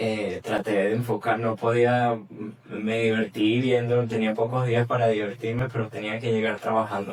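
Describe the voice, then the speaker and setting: A man with a Venezuelan accent speaks at a medium pitch and a moderate pace. His intonation is monotone and flat, with noticeable background noise. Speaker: journalist. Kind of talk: interview answer. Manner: casual, conversational.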